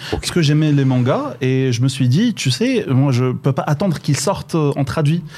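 A man's dark, mellow, somewhat breathy voice, fairly high in pitch, at a moderate pace with hardly any pauses, ordinary pitch variation and very even loudness. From Morocco, Boujdour. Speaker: digital transformation expert. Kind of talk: radio interview. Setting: radio studio in Casablanca.

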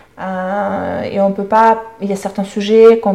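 A woman's medium-pitched voice in a Russian accent, fairly slow, with monotone, flat intonation. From Russia, near Moscow. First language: Russian (speaking French). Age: 30s. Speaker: podcast guest, sales support employee. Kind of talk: interview. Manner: hesitant, many fillers.

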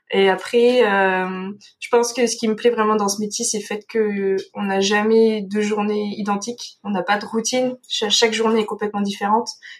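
Her fairly high voice runs at a moderate pace with hardly any pauses, as the woman speaks in a monotone, flat intonation. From France, Dordogne. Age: 20s. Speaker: veterinarian. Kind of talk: interview. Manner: hesitant, many fillers.

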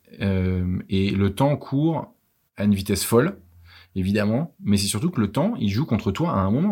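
Over a silent background in a very clean recording, a man talks with lively intonation at a fairly low pitch. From France, Versailles. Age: 30s. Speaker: travel entrepreneur. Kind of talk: interview. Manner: halting, many fillers.

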